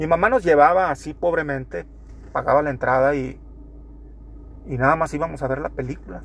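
Fairly high in pitch with ordinary variation, a man talks at a fairly quick pace, broken by long, frequent pauses. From Torreón, Coahuila, northern Mexico. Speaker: podcaster. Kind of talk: casual monologue.

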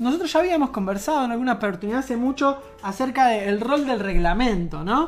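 A woman with an Argentine accent talks at a very fast pace in a high pitch with lively intonation, over noticeable background noise. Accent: Argentine Spanish (Rioplatense). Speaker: radio show co-host. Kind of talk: casual chat.

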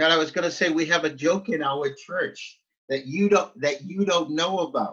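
The speaker is a man with a high voice. He talks at a moderate pace with ordinary pitch variation. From Nova Scotia, Canada (Halifax-Dartmouth). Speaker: pastor. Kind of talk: interview. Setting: video call.

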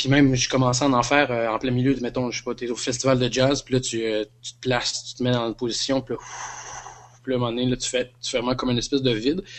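A man talks at a very fast pace in a medium pitch. His intonation is monotone and flat. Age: 30s. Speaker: podcast guest. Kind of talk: casual chat.

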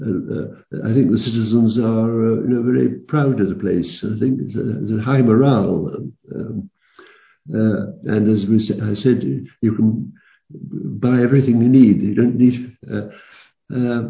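A man's somewhat breathy voice comes with audible room echo. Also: medium pitch for a man, ordinary pitch variation. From London. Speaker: retired professor. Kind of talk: interview. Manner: halting.

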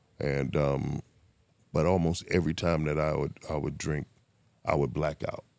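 With an American accent and vocal fry, a man with a very deep, low pitch talks in a monotone, flat way at a moderate pace, leaving long, frequent pauses. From Miami, Florida (Liberty City). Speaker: person in addiction recovery. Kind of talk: casual interview, life story.

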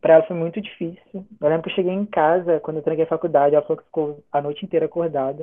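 The man's intonation is fairly even. He talks very fast. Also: fairly high pitch for a man, hardly any pauses. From Brazil, interior of Rio de Janeiro state. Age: 20s. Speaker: missionary, former student. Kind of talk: casual interview, personal testimony.

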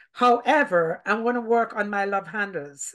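A plain, everyday voice at a moderate pace with ordinary pitch variation, over a quiet background. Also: woman. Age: 50s. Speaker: podcast host. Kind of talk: casual interview.

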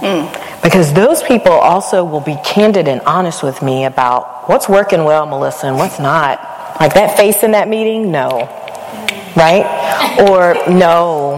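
Through noticeable background noise, a woman speaks at a fairly slow pace. Her fairly low pitch shows ordinary variation. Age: 40s. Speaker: university vice president. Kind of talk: live interview. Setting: stage with audience.

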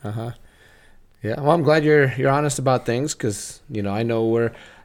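Ordinary pitch variation marks this man's speech. The recording is very clean, and the background is silent. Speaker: wrestling coach. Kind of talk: casual podcast chat. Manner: rambling, halting.

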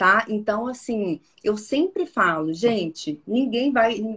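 A woman speaks at a fairly slow pace and medium pitch. It is an ordinary speaking voice. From Minas Gerais interior, Brazil (Porteirinha). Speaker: personal branding consultant. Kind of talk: interview conversation.

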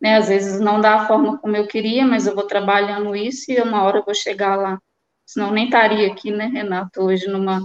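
A woman's normal speaking voice, a normal speaking voice at medium pitch, moderately paced with fairly even intonation. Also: dry, close sound with no echo. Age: 30s. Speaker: mining professional. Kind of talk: testimony.

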